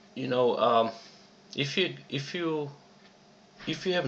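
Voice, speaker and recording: A man with a Czech accent, fairly slow pace and ordinary pitch variation. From Czechoslovakia. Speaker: online business promoter. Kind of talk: personal story in a sales video. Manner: halting, many fillers and repetitions.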